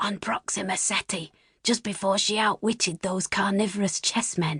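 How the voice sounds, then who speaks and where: A female-sounding put-on character voice, raspy and at a middle pitch, moves at a moderate pace. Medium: read story.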